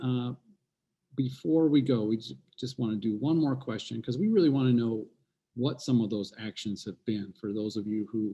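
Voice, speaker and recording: A quiet man speaks in a dark, mellow tone with ordinary pitch variation and long, frequent pauses. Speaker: moderator of architecture panel webinar. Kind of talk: panel discussion closing remarks. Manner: quiet, low volume.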